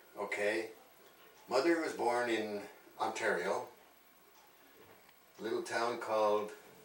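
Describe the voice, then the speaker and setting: Pausing long and often, a man speaks fairly slowly with ordinary pitch variation over noticeable background noise. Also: medium pitch for a man. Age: 80s. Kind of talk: interview answer.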